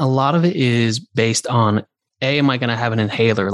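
Against a quiet background, a man speaks in an ordinary speaking voice at medium pitch with ordinary pitch variation. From Santa Monica, California, in a New Zealand immigrant household. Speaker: wellness community founder. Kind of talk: interview, personal story. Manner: casual, filler-heavy.

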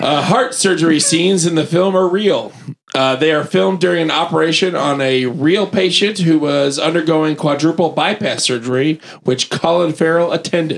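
A man's fairly high voice at a moderate pace, with ordinary pitch variation, very even loudness and noticeable background noise. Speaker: podcast panelist. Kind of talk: casual chat.

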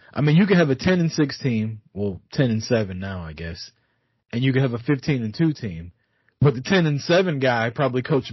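Speech comes at a fairly fast clip. There is some breathiness in the voice. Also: man. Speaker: guest sports podcaster, Cowboys fan. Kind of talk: casual sports banter. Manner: profane, opinionated.

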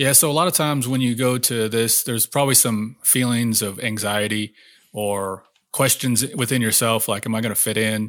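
The recording is very clean, with a silent background. A man with an American accent talks at a moderate pace, with a medium pitch and fairly even intonation. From Oklahoma, small town. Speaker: army special forces veteran. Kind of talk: interview conversation. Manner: articulate.

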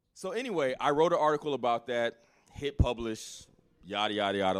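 Quick-paced and with lively intonation, a man with an American accent speaks in a plain, everyday voice. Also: very clean recording, silent background. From military bases abroad and Alabama, US South. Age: 40s. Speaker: writer and blogger. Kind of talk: casual interview. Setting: live event recording.

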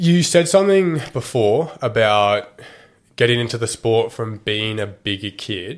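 On a very clean recording with a silent background, a man with an Australian accent talks at a fairly slow pace with very wide pitch swings. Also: medium pitch for a man. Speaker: podcast host. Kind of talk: casual interview chat. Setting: studio, video recorded. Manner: casual, swears often.

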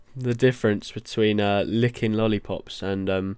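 A man's fairly low voice on a very clean recording with a silent background. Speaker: podcast host and trainee chef. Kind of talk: casual solo chat. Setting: studio. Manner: animated; halting.

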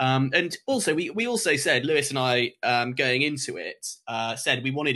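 This is a man with an English accent. His tone is bright and sharp. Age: 20s. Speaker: lacrosse coach. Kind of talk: casual chat.

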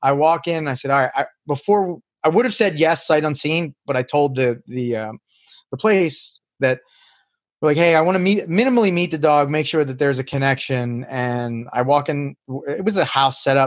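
Pitch variation here is ordinary. The speaking pace stays moderate. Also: man, fairly high pitch for a man. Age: 40s. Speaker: mixed martial arts coach. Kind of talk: casual chat. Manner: halting; animated.

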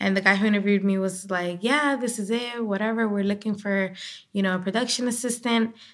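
A very fast woman's voice with a Spanish accent, fairly high pitch and fairly even intonation, on a very clean recording with a silent background. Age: 20s. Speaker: digital show host and journalist. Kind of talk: casual podcast interview.

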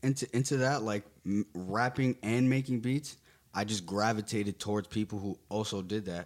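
A man with a plain, everyday voice, talking at a moderate pace with ordinary pitch variation. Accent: American. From Garfield, New Jersey. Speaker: rapper and producer. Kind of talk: casual interview.

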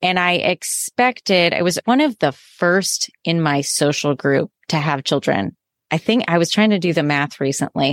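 In a normal speaking voice with an American accent, the speaker talks at a moderate pace with lively intonation and very even loudness, dry and close with no echo, on a very clean recording with a silent background. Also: woman, fairly low pitch for a woman. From US Midwest. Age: 30s. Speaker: educator and parenting coach. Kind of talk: casual interview chat.

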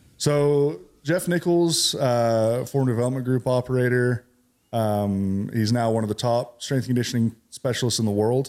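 With an American accent and a normal speaking voice, the speaker talks at a moderate pace with ordinary pitch variation, in a very clean recording over a silent background. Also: man, medium pitch for a man. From California. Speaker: military veteran and CBD business owner. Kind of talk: casual interview.

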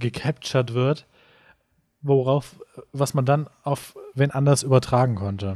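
The recording is very clean, and the background is silent. A man speaks at a very slow pace. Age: 20s. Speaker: podcast co-host. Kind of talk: casual chat.

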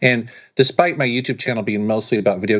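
This is an unremarkable speaking voice with an American accent. Its pitch varies in an ordinary way. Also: man. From Seattle, US. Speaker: YouTube creator and retro gaming reviewer. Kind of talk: casual interview chat.

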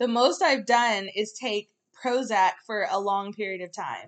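This woman has an unremarkable speaking voice. She talks at a fairly slow pace with lively intonation. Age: 30s. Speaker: podcast co-host. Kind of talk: casual chat.

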